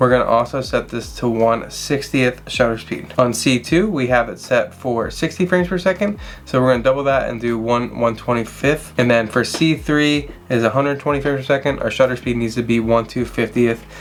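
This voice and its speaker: A man talks at a fairly quick pace with hardly any pauses, at a medium pitch with ordinary pitch variation. Noticeable background noise is present. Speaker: wildlife photographer and camera reviewer. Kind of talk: tutorial. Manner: less excited than usual; casual, with fillers.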